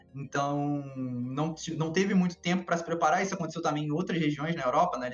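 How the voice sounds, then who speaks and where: A man speaks fairly quickly, with ordinary pitch variation, as noticeable background noise carries on behind him. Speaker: esports analyst. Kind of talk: casual chat. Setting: live stream.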